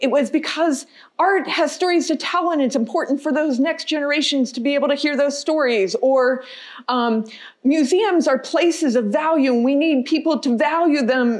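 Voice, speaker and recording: Lively intonation over a quiet background. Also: woman. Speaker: guest lecturer. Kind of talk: lecture.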